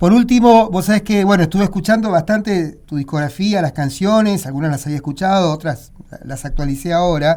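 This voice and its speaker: Pitched high, a man speaks at a fairly quick pace with a dark, mellow tone. His pitch variation is ordinary. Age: 60s. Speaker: radio interviewer. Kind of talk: interview.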